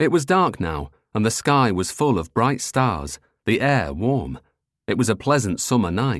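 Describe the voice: Plain reading aloud is heard over a quiet background.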